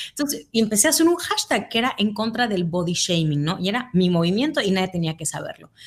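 A somewhat breathy woman rushes along at a very fast pace with hardly any pauses. Her medium-pitched voice swings very widely in pitch. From Mexico, Mérida, Yucatán. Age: 30s. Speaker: writer on self-love. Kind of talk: casual chat.

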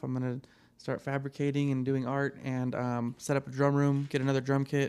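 With an American accent, a man speaks at a fairly high pitch in monotone, flat intonation. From Reno, Nevada. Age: 30s. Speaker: podcast co-host. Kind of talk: casual chat. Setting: studio.

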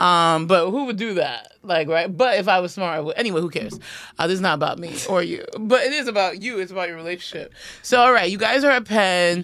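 Someone with a New York accent talks at a very fast pace. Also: woman, medium pitch for a woman, lively intonation. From New York (Queens). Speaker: comedian and podcast host. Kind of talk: casual chat.

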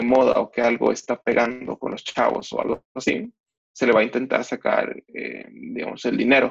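A man speaks with a Mexican accent. His pace is fairly slow. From Mexico. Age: 20s. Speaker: twitter commentator on freestyle rap. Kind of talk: casual interview.

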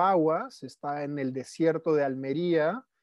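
A man talks very slowly in a fairly high pitch with a monotone, flat intonation. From Peru, Lima. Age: 30s. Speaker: permaculture practitioner. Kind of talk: casual interview chat. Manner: halting, frequent repetitions.

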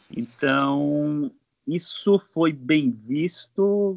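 A man with a strong Bahian accent, dry and close with no echo, over a quiet background. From Bahia backlands, Brazil. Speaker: mechanical engineer, master's student. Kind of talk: casual political discussion. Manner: halting, many fillers.

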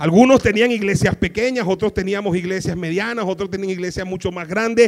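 A man speaks in a high pitch with an animated tone. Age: 40s. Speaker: pastor. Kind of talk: sermon.

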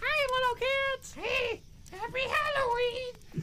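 Putting on a character voice, the speaker talks at a fairly slow pace in an extremely high pitch. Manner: creepy.

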